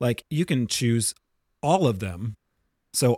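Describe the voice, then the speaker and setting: A man with a plain, everyday voice and a medium pitch speaks at a fairly slow pace in a very clean recording with a silent background and a dry, close sound with no echo. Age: 40s. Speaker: podcast co-host and bartender. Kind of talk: casual chat.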